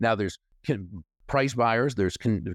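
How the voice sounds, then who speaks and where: A man with an American accent and an ordinary speaking voice, a fairly low pitch, and ordinary pitch variation, set against a quiet background. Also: dry, close sound with no echo. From Massachusetts, US. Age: 60s. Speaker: author and speaker. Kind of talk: casual interview chat.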